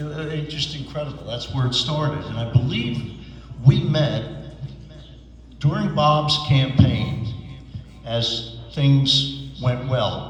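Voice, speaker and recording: A man with a New Jersey accent speaks very slowly, his loudness swinging widely. Music plays in the background, and room echo is audible. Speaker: businessman and political supporter. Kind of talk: tribute speech. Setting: retirement celebration.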